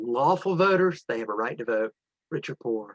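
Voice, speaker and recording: A man talks with lively intonation in a dry, close sound that has no echo. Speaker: election watchdog organizer. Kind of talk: training briefing. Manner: fast; casual, animated.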